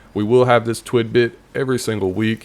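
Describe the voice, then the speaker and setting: With a Southern accent, a man talks at a fairly quick pace and a fairly even intonation. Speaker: gaming YouTuber. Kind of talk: casual video commentary. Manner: chatty, rambling.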